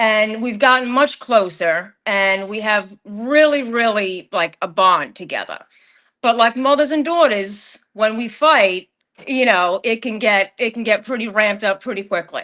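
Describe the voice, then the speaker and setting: The voice has a bright, sharp tone and a slight Long Island accent, with ordinary pitch variation. The pace is fairly slow, and the background is quiet. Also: woman, fairly high pitch for a woman. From Long Island, New York. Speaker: podcast guest sharing paranormal experiences. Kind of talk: casual chat, personal storytelling. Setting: live stream.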